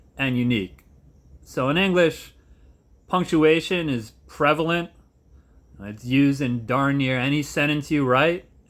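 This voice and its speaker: A man with a fairly high voice speaks fairly slowly in an American accent, with ordinary pitch variation and long, frequent pauses. The recording is very clean, with a silent background. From Philadelphia area, US. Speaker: high school English teacher and vlogger. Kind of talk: casual vlog monologue. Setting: at home.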